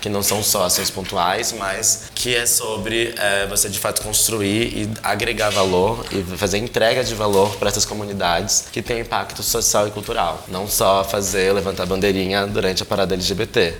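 Through noticeable background noise and audible room echo, a man with a fairly low pitch speaks at a moderate pace with hardly any pauses. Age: 20s. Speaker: production and projects director. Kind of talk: casual podcast interview.

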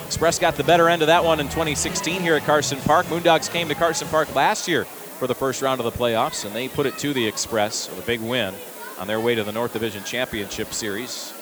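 Over noticeable background noise, a man talks at a fairly quick pace with a medium pitch and lively intonation. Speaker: play-by-play broadcaster. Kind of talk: live commentary. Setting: ballpark broadcast.

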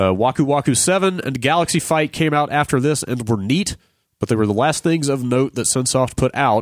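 This is a man with a normal speaking voice at medium pitch. He talks at a fairly quick pace, and the sound is dry and close with no echo. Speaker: podcast host. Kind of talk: casual chat.

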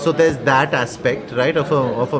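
A man's fairly high voice, with ordinary pitch variation, is heard through clear room echo and noticeable background noise. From India. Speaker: artist and English literature graduate. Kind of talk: casual interview over lunch. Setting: restaurant.

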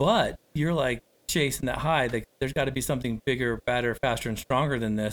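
An ordinary speaking voice from a man, medium in pitch with ordinary pitch variation, at a fairly quick pace, dry and close with no echo. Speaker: podcast host and recovery coach. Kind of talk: podcast interview.

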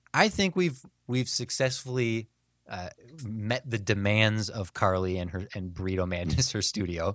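On a very clean recording with a silent background and a dry, close sound with no echo, a man uses an ordinary speaking voice, fairly low in pitch, with ordinary pitch variation at a moderate pace. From US Midwest. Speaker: podcast host. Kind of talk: casual chat.

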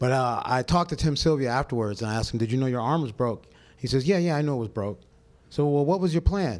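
A very fast pace and lively intonation in a very clean recording with a silent background. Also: man, medium pitch for a man. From Pasadena, California. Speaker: MMA referee. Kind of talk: live podcast interview. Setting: stage with live audience.

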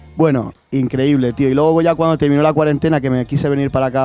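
A man with a dark, mellow tone and a medium pitch, very fast pace and fairly even intonation. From Spain, Castilla-La Mancha (Puertollano). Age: 20s. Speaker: professional skateboarder. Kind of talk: interview conversation. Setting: studio.

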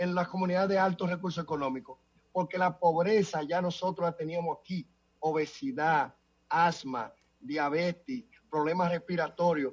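The speaker has a Dominican accent and ordinary pitch variation. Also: man. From Dominican Republic. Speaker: city council member. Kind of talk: interview.

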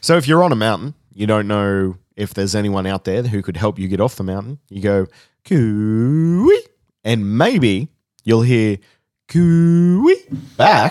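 Fairly low-pitched and lively in intonation, a man with an Australian accent speaks at a fairly slow pace. The recording is very clean with a silent background, dry and close with no echo. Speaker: podcast host. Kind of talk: casual chat.

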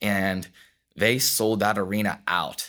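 On a very clean recording with a silent background, a man with an unremarkable speaking voice speaks at a fairly low pitch with fairly even intonation. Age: 20s. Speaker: CrossFit athlete and gym owner. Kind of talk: interview.

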